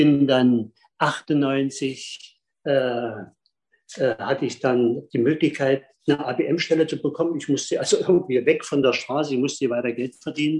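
In a normal speaking voice, a man with a fairly high pitch speaks fairly slowly with fairly even intonation. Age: 50s. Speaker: speed skating coach. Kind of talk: storytelling in online salon.

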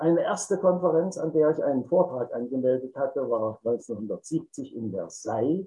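A man talks at a moderate pace in a fairly high pitch. His tone is dark and mellow, and his intonation is lively. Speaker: retired industrial engineer. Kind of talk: personal storytelling. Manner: formal.

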